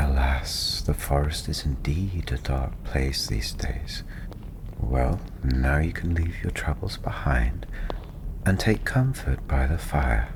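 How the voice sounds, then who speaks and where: Soft-spoken and very deep in pitch, a man talks at a very slow pace with ordinary pitch variation over noticeable background noise. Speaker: tavern storyteller, ASMR performer. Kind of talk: welcoming tavern roleplay greeting the listener. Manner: softly spoken.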